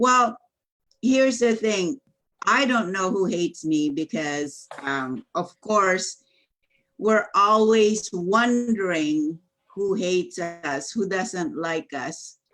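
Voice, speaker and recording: With a Filipino accent and lively intonation, a woman speaks at a very slow pace and a medium pitch. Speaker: business coach. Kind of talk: casual chat. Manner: loud.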